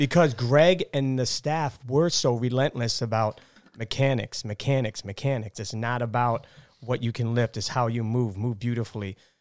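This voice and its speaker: Recorded with a dry, close sound and no echo, a man with a plain, everyday voice speaks at a medium pitch with ordinary pitch variation. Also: moderate pace. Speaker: gym member. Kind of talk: casual chat.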